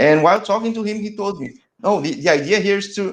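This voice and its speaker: At a moderate pace, a man with a Portuguese accent speaks with lively intonation. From Brazil. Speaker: soccer interviewer, channel host. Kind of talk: interview. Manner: halting, frequent repetitions and false starts.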